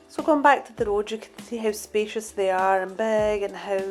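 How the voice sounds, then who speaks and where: With music in the background, a woman talks at a moderate pace and a medium pitch. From Scotland. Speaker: vlogger. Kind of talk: casual travel vlog narration.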